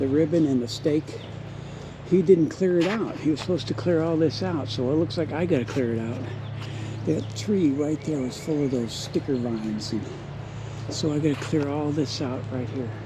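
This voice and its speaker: Over noticeable background noise and audible room echo, a man speaks at a fairly high pitch and a moderate pace. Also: ordinary pitch variation. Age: 60s. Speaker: vlogger. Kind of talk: casual vlog walkthrough. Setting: outdoors. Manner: conversational, rambling walk-and-talk.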